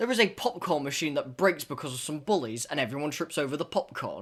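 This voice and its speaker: On a very clean recording with a silent background, a man with an English accent speaks at a moderate pace with fairly high pitch and very wide pitch swings. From England. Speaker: podcast host. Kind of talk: casual chat.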